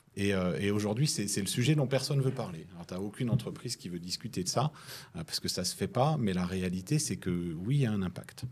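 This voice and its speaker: In a very clean recording with a silent background, a man with a fairly low pitch talks at a fairly quick pace, his pitch swinging very widely. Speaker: tech entrepreneur, panelist. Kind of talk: panel discussion. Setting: live round-table at a festival. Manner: hesitant, many repetitions.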